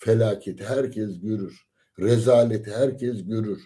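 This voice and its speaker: Speech comes at a very slow pace with fairly even intonation. The background is quiet. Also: man. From Turkey. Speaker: lecturer. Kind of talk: lecture. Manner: hesitant with many fillers. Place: home room. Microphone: phone near.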